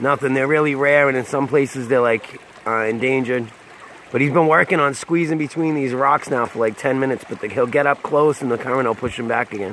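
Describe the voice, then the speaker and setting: Over light background noise, a man speaks with fairly even intonation in a dry sound with no echo. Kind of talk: casual vlog chat. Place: waterside. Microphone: phone near.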